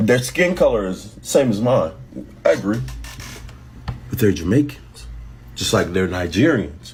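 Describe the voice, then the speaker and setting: A man's fairly low voice with vocal fry and very wide pitch swings, at a fairly slow pace with long, frequent pauses, in audible room echo. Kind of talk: opinion monologue.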